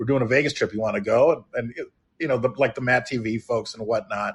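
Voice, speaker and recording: A man's plain, everyday voice, medium in pitch, with an American accent and a fairly quick pace over a quiet background. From Chicago. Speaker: podcast host and actor. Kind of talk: casual chat. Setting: live online broadcast.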